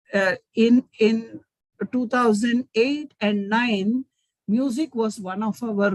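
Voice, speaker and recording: A woman speaks very slowly in a fairly high, somewhat breathy voice with ordinary pitch variation. The sound is dry and close, with no echo. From India, Mumbai. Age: 60s. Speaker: business owner. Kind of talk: webinar talk.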